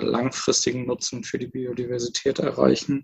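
With a medium pitch and fairly even intonation, a man speaks with vocal fry. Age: 20s. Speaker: startup co-founder. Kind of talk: interview.

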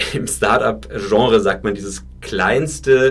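Noticeable background noise sits behind a man's voice. He speaks very slowly at a fairly low pitch. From Franconia, Germany. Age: 30s. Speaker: startup founder. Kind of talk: interview.

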